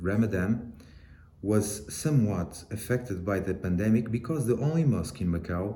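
With a Portuguese accent, a man talks at a fairly slow pace in a fairly low pitch, his tone dark and mellow, somewhat breathy, with lively intonation. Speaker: photojournalist. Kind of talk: interview recording about his work. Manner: halting.

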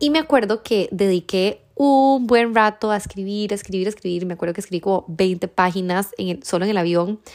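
A woman talks at a fairly quick pace with hardly any pauses, in an ordinary speaking voice at medium pitch with ordinary pitch variation. The recording is very clean, with a silent background. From Costa Rica. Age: 30s. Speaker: podcast host. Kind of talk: casual monologue.

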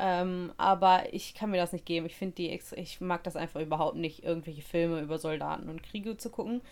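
Here a woman with an ordinary speaking voice talks at a fairly quick pace, hardly pausing, with a fairly low pitch and fairly even intonation. The recording is very clean, with a silent background. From Germany. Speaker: podcast co-host. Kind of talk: casual chat.

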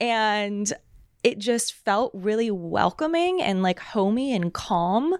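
A woman with an American accent, fairly high in pitch, with lively intonation and a very slow pace, in a very clean recording with a silent background and a dry, close sound free of echo. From Los Angeles, US. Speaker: television media employee. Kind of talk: casual roundtable chat. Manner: loud.

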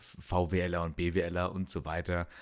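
A man's very deep, low-pitched voice on a very clean recording with a silent background. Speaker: medical student podcaster. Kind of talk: casual solo monologue. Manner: halting, many fillers and repetitions.

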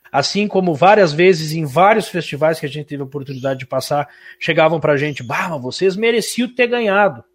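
At a fairly quick pace, an ordinary speaking voice moves with lively intonation. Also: man, fairly high pitch for a man. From Santa Catarina, Brazil (Irani). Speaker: musician and radio host. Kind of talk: interview.

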